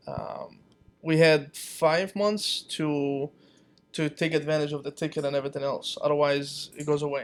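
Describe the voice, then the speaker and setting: Music plays in the background as a man with a Romanian accent talks in a monotone, flat intonation at a fairly high pitch. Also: moderate pace. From Palestine. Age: 30s. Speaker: small business owner. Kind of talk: casual chat.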